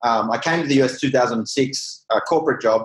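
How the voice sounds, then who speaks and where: Speaking with an Australian accent, a man uses a fairly high pitch and ordinary pitch variation. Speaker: real estate company CEO. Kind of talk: interview.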